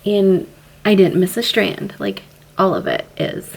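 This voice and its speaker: Quiet and medium-pitched, a woman speaks at a fairly slow pace against noticeable background noise. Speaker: lifestyle vlogger. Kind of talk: casual tutorial.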